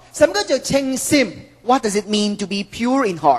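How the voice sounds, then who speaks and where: This is a woman speaking. There is noticeable background noise. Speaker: preacher. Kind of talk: sermon delivered to a congregation.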